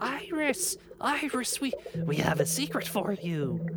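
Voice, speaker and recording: Over loud background noise, a middle-pitched put-on character voice speaks at a fairly slow pace. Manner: friendly, beckoning.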